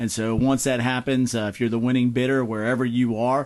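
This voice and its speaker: Against a quiet background, a man talks at a fairly quick pace. His medium-pitched voice stays monotone, with flat intonation. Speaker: licensed auctioneer. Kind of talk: casual interview answer about auctions.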